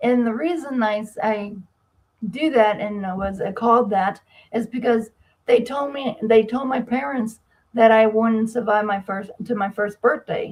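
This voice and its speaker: A somewhat breathy woman's voice, fairly high in pitch, at a fairly slow pace with ordinary pitch variation. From US Northeast, Massachusetts. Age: 60s. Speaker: medical debt specialist and author. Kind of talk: interview. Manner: halting.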